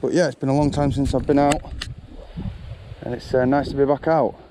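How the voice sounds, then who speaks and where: Speech comes at a moderate pace with fairly even intonation. There is noticeable background noise. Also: man. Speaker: angling vlogger. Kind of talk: casual vlog narration. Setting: outdoors by a river.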